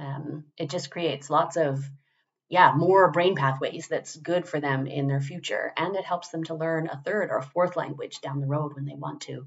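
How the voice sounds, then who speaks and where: Speaking at a moderate pace, a woman with a very deep, low voice sounds somewhat breathy and keeps her intonation fairly even. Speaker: parent. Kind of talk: testimonial. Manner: conversational with frequent fillers.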